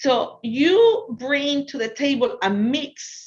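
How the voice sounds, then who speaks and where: A woman speaks with a Spanish accent. The background is quiet. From Ecuador. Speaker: business consultant. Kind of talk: lecture. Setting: virtual talk.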